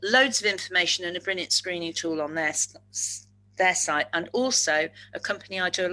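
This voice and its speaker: A woman's fairly low voice, bright and sharp in tone, at a fairly quick pace with ordinary pitch variation. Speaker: speaker on neurodiversity at work. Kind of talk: webinar presentation. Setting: webinar. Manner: fast.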